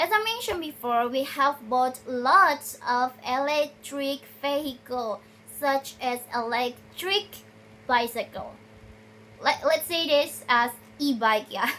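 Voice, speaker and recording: A raised, projected woman's voice in an Indonesian accent, high-pitched with a bright, sharp tone, lively intonation and a very slow pace. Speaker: video blogger. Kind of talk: research summary talk. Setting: recorded at night on a tripod. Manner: halting, with many self-corrections.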